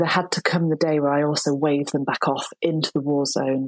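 Dry, close sound with no echo carries speech at a moderate pace with ordinary pitch variation. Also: woman. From Shropshire, England. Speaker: midwife and author. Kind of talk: interview conversation.

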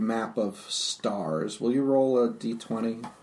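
A male voice comes through with clear noise in the background. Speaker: game master. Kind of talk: tabletop role-playing game session, casual.

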